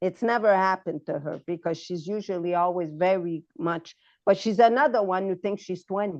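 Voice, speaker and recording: A woman with an ordinary speaking voice, ordinary pitch variation and a moderate pace, over a quiet background. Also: medium pitch for a woman. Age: 60s. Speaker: nutrition consultant and podcast host. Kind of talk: casual chat.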